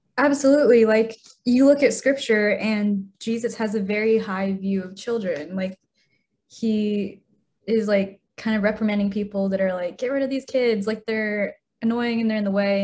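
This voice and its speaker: A woman's fairly high, somewhat breathy voice with a dark, mellow tone, an American accent, fairly even intonation and a moderate pace. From Utah, US. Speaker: guest on faith podcast. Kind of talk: casual chat.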